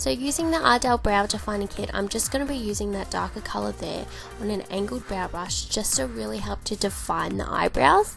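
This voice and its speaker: Music plays in the background as a woman speaks with an Australian accent. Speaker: beauty vlogger. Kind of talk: makeup tutorial voice-over. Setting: voice-over with home mic. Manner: casual, chatty.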